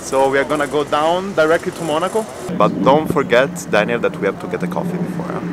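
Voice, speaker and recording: Over noticeable background noise, a man with an Italian accent talks very fast at a fairly high pitch, with lively intonation. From southern Italy (Catanzaro). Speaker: podcaster and cyclist. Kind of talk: casual vlog chat.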